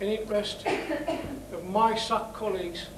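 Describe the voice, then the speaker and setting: A man with a northeast English accent, audible room echo and noticeable background noise. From northeast England. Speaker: campaign chair, former miner. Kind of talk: rally speech.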